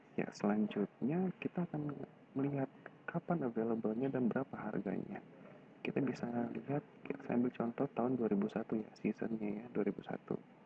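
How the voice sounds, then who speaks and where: Whispered words come at a fairly quick pace. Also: man. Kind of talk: screen-recorded website tutorial.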